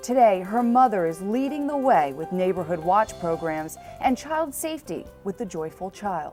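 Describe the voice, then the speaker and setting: Very wide pitch swings run over music in the background. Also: woman, medium pitch for a woman, moderate pace. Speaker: TV news reporter. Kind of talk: TV news report. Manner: serious, measured.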